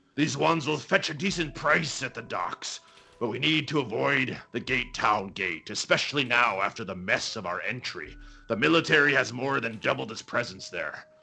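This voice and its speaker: Faint music plays in the background. The speaker uses a put-on character voice at a moderate pace. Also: man, medium pitch for a man. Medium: actual play. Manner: brisk, calculating.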